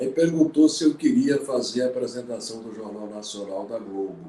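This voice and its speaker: A man talks at a fairly slow pace, his pitch swinging very widely up and down. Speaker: veteran journalist. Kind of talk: interview storytelling.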